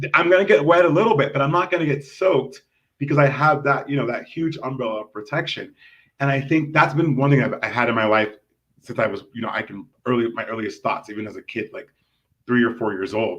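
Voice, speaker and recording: Animated and lively in intonation, the speaker races at a very fast pace with an American accent and big swings in loudness. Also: man, fairly high pitch for a man. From US West Coast, Los Angeles. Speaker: community activist and expat. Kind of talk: podcast interview.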